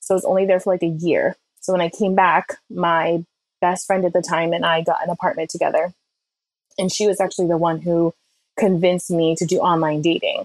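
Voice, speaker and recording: Dry and close with no echo, a woman's voice moves at a fairly quick pace with very even loudness. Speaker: guest sharing her dating story. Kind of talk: personal storytelling. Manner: animated.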